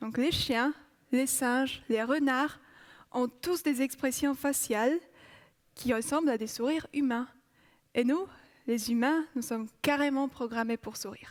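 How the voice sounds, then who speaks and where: A woman with a Polish accent and a high pitch speaks at a fairly slow pace with long, frequent pauses and fairly even intonation, in a very clean recording over a silent background. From Poland. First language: Polish (speaking French). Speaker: psychology researcher. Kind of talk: TEDx talk.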